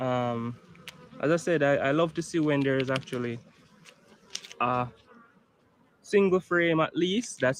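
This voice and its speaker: At a fairly slow pace, a man with a Jamaican accent speaks at a fairly high pitch, with ordinary pitch variation. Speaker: beekeeper. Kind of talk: tutorial.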